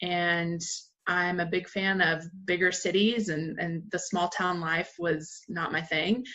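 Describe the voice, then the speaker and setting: In a fairly low pitch, a woman with an American accent speaks at a very slow pace with fairly even intonation. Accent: southern accent trained away. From US South, western North Carolina (Asheville). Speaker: marketing manager, former college basketball player. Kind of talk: interview.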